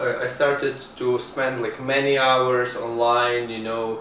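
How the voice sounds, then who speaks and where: A man with an Eastern European accent speaks at a moderate pace and a fairly high pitch. Noticeable background noise and audible room echo are present. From Ukraine. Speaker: internet marketer and travel blogger. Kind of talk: interview. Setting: in person, Montreal.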